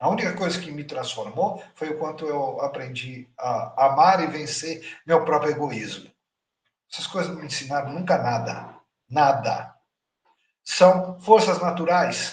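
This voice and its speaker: Talking at a fairly slow pace, a man uses a fairly high pitch with ordinary pitch variation. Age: 60s. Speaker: spiritual teacher. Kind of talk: lecture. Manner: animated.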